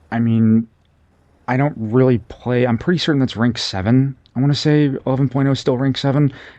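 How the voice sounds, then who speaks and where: This man is soft-spoken. His intonation stays fairly even. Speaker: gaming video creator. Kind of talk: gameplay commentary. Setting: at home late at night. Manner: soft-spoken, talking quietly; halting, many fillers.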